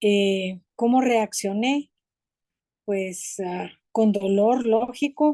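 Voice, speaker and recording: Woman's fairly high voice with a dark, mellow tone, very slow pace and ordinary pitch variation, in a dry, close sound with no echo. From Guatemala City. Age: 70s. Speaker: theology graduate, course participant. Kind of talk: personal testimony in online class.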